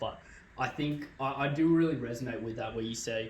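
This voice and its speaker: A man talks in a normal speaking voice. His pitch is medium and his intonation fairly even. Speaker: podcast host. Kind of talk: casual podcast conversation.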